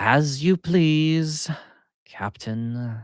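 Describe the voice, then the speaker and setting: A man puts on a character voice at a fairly high pitch. The recording is very clean, with a silent background. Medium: read story. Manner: haughty, contemptuous.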